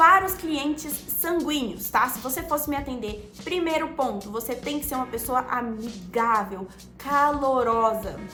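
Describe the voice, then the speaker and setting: A woman speaks in a raised, projected voice with a high pitch, an animated tone and lively intonation. The room echo is audible. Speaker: social media coach. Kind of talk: tutorial. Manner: animated, varied pitch; fast.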